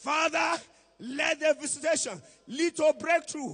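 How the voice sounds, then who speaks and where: A man shouts at an extremely high pitch. He keeps to a fairly slow pace. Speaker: prayer leader. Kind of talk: intercessory prayer. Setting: church. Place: church. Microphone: handheld.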